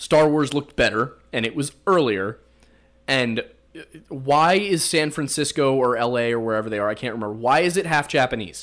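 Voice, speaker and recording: A man talks in an animated tone with a strong Pennsylvania accent. His intonation is lively. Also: medium pitch for a man, moderate pace, very clean recording, silent background. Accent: thick Pennsylvania. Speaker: podcast host. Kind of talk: casual chat. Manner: animated, jokey.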